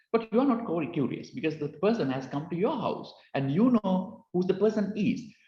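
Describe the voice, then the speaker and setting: Speaking in a Sri Lankan accent at a moderate pace, a man with a high pitch makes very wide pitch swings, and the room echo is audible. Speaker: cybersecurity speaker. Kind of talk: lecture. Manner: halting, many fillers.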